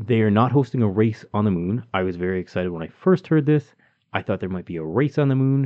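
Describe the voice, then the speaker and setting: With a Canadian accent, a man speaks very fast in a fairly low pitch, his intonation lively. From Calgary, Canada. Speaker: podcast host. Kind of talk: casual conversational podcast.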